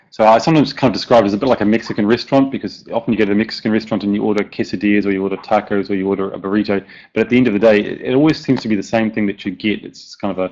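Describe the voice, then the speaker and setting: With a New Zealand accent, a man talks at a very fast pace and fairly low pitch, showing ordinary pitch variation over a quiet background. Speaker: software plugin developer. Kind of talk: conference presentation.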